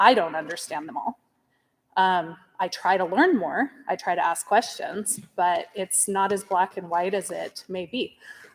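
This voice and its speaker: Fairly slow speech from a woman in a normal speaking voice, pitched at a medium level. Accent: American. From US, local rural school district. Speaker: parent speaking at public meeting. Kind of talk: public comment at school board meeting.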